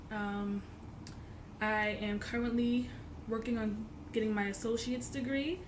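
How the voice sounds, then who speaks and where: A somewhat breathy woman's voice, fairly high in pitch, at a fairly slow pace with audible room echo. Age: 20s. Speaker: college student vlogger. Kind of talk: casual vlog tutorial. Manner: hesitant with many fillers.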